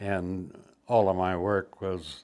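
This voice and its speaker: The voice belongs to a man with a fairly low pitch. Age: 80s+. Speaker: war veteran. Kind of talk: testimony. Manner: halting.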